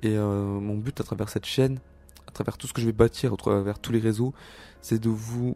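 In a very clean recording with a silent background, a man with a dark, mellow tone speaks at a moderate pace with fairly even intonation. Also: dry, close sound with no echo. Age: 20s. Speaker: self-help podcaster. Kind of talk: solo monologue.

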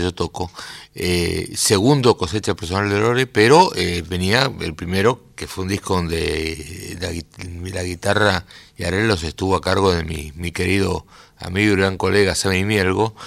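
A man's very deep, low voice with ordinary pitch variation, at a fairly slow pace, on a very clean recording with a silent background. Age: 60s. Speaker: guitarist, composer and music teacher. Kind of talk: radio interview. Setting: radio studio. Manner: halting, with many fillers.

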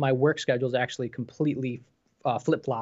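At a fairly quick pace, a man with an American accent talks in a medium pitch with fairly even intonation. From New York State. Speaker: VR enthusiast co-host. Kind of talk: casual live stream chat.

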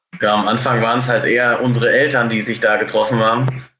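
Against audible room echo, a man speaks at a medium pitch and a fairly quick pace, his intonation monotone and flat. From Germany, Münsterland near the Dutch border. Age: 20s. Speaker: poultry farmer. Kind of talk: interview.

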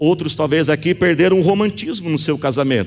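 This man's voice has an animated tone. Very wide pitch swings run through it. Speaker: pastor. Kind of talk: sermon, passionate preaching with calls to prayer and declarations over the congregation. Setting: church with live congregation, also streamed online. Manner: animated, emphatic, rising in intensity with repeated phrases.

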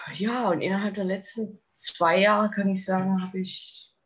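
A woman speaks at a fairly slow pace in a somewhat breathy, medium-pitched voice. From Thuringia, eastern Germany. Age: 30s. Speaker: eating disorder survivor sharing her story. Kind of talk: interview testimony. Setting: podcast interview.

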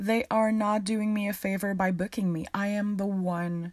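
Somewhat breathy, a woman speaks at a fairly slow pace in a warm, upbeat tone. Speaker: podcast host and tarot reader. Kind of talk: casual solo podcast talk. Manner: warm, upbeat, animated.

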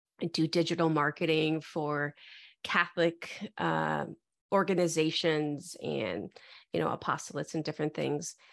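A woman speaks at a very deep, low pitch with vocal fry. Her intonation is fairly even, and the background is quiet. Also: moderate pace. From US Midwest, Metro Detroit. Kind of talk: interview conversation.

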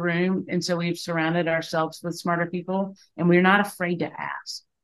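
A woman with a Southern US accent talks at a fairly quick pace in a fairly low pitch. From Aiken, South Carolina. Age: 50s. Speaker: business co-founder. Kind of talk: interview.

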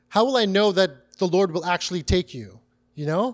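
The recording is very clean with a silent background. A man talks at a moderate pace in a high pitch with ordinary pitch variation. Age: 30s. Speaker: bible teacher. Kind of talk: sermon. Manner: animated.

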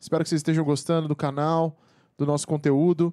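A man's fairly high voice with a dark, mellow tone, dry and close with no echo. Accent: Brazilian. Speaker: podcast producer. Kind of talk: casual chat.

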